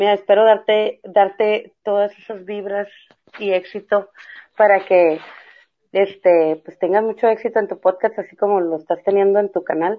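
A woman talks at a fairly slow pace with a medium pitch and fairly even intonation. It is an ordinary speaking voice. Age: 30s. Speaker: mother and school friend of host. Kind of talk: casual chat.

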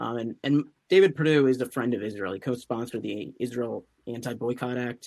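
Fairly quick speech from a man, medium in pitch, with ordinary pitch variation. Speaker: political commentator, student fellow. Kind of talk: interview. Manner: halting, many fillers.

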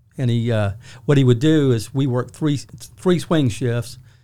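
A man with a South Carolina accent speaks at a medium pitch. His tone is dark and mellow, with ordinary pitch variation. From Charleston, South Carolina. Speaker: sheriff's office deputy chief. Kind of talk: interview.

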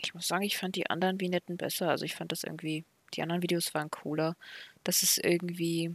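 Speaking very fast, a woman keeps a monotone, flat intonation at a fairly low pitch. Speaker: wrestling podcast co-host. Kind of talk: solo recap monologue; casual chat.

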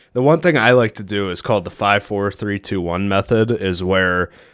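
A man speaks with an unremarkable speaking voice at a fairly low pitch. His pitch varies in an ordinary way. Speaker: podcast host. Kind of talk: casual solo podcast monologue. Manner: relaxed, conversational, filler words.

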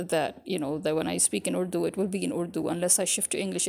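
Speaking with an American accent, a woman shows vocal fry and ordinary pitch variation. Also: very clean recording, silent background. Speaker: podcaster. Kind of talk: casual monologue to audience.

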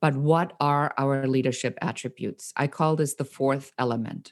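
With a German accent, the speaker keeps a moderate pace and fairly even intonation in a very clean recording with a silent background. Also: woman. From Germany, Nuremberg. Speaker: entrepreneur. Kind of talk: casual interview.

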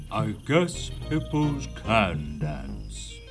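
A man's booming, put-on character voice comes through. Clear music plays in the background. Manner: loud announcing.

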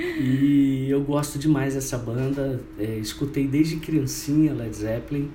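Noticeable background noise and audible room echo accompany a man with a fairly high pitch and fairly even intonation. He speaks at a very slow pace with hardly any pauses. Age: 50s. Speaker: radio host and web radio founder. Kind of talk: casual interview.

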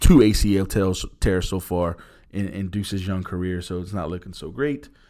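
Speaking at a moderate pace, a man with a fairly low pitch and ordinary pitch variation has an ordinary speaking voice, recorded very cleanly against a silent background. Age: 40s. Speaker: sports history podcast host. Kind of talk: casual chat.

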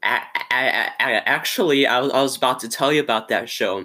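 The man's fairly high-pitched voice has a bright, sharp tone and moves at a fairly quick pace. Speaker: podcast host. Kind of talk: interview. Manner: halting, stuttering.

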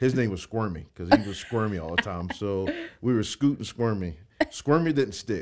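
With a Georgia accent, a man speaks at a fairly low pitch and moderate pace, his intonation lively and his loudness swinging widely. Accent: Southern American (Georgia). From US South, Jackson, Georgia. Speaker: mayoral candidate. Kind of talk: casual interview.

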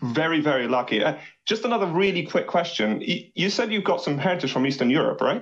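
Speaking very fast in a high voice, the man swings his pitch very widely while his loudness stays very even. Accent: English. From England. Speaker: caller. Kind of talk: phone-in call.

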